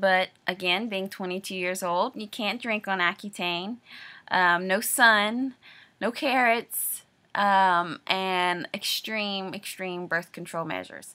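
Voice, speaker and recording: A woman at a medium pitch speaks at a very slow pace in a bright, sharp tone. Her pitch variation is ordinary, and the recording is very clean with a silent background. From Louisiana. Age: 20s. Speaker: video diarist. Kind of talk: personal video diary. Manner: hesitant, many filler words.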